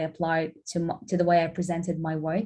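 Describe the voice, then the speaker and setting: A woman speaks with a Lithuanian accent, somewhat breathy. The background is quiet. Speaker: graphic designer. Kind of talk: guest lecture.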